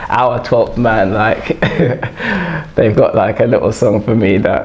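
Speaking at a moderate speed, a man delivers his words. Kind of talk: interview answer. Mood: cheerful, smiling. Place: studio. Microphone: lapel.

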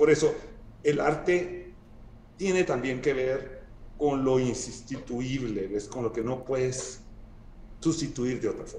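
With audible room echo and light background noise, a man speaks at a very slow pace and medium pitch with ordinary pitch variation and long, frequent pauses. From Guatemala. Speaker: sculptor; guest. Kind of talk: casual interview conversation. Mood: relaxed, thoughtful. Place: home room. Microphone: video call.

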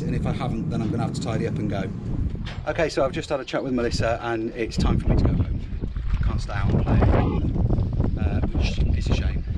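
A man speaks fairly quickly with music in the background. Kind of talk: casual vlog chat. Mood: pleased with progress. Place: boat. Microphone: phone near.

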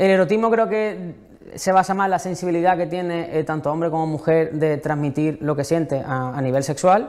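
A fairly high-pitched man at a moderate pace with ordinary pitch variation, in a quiet background. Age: young. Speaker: novelist; guest. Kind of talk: interview. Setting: museum library. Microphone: lapel.

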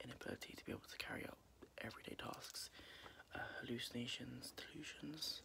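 Whispering at a fairly quick pace, a man speaks. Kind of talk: soft role-play roleplay chat. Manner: soft-spoken ASMR doctor voice. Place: home room. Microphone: phone near.

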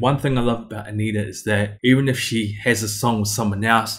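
A somewhat breathy man's voice at a fairly quick pace with fairly even intonation. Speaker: music reaction youtuber. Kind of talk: casual reaction commentary. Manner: fast. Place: home room. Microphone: webcam.

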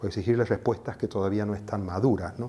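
This man talks with fairly even intonation. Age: 60s. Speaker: activist, association founder; interviewee. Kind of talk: interview; interview answer. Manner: measured, frequent hesitations. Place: home room. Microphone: lapel.

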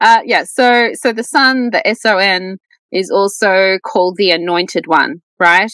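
Someone with an Australian accent speaks at a fairly slow pace, the sound dry with no echo against a quiet background. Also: woman. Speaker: scholar of Gnosticism; podcast guest. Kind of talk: podcast interview. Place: home room. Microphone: earbuds.

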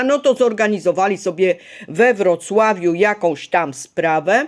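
Very slow delivery with lively intonation on a very clean recording with a silent background. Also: woman. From Poland, Ostrów Wielkopolski (Greater Poland). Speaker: video blogger. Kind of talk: personal vlog monologue. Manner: agitated.

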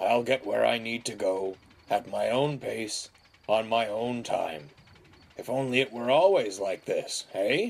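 A man's put-on character voice, fairly low and growling, with vocal fry, a slightly husky edge, lively intonation and a fairly slow pace

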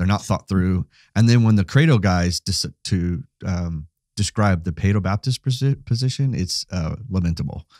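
With an American accent, a man has an unremarkable speaking voice, fairly low in pitch. He moves at a fairly slow pace with lively intonation, on a very clean recording with a silent background. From US West Coast. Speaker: pastor and podcast co-host. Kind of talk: casual theological conversation.

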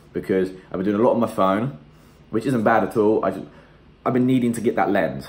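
This voice belongs to a man. Its rise and fall in pitch is ordinary. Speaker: fitness vlogger, personal trainer. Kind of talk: casual vlog to camera. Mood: upbeat, candid. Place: kitchen. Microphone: phone near.

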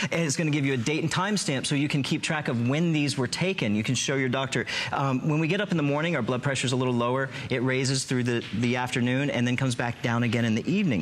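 With music in the background, a man talks at a very fast pace with lively intonation. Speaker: registered nurse. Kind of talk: infomercial. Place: studio. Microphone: lapel.

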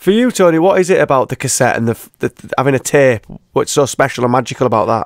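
A man with a British accent speaks at a very fast pace and a fairly high pitch, with lively intonation. The sound is dry with no echo, and the background is quiet. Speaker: radio presenter. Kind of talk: radio interview.

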